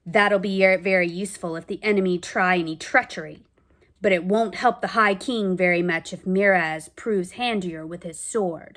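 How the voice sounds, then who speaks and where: Using a put-on character voice, a woman talks at a medium pitch. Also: moderate pace. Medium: read story. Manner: gruff, grumbling.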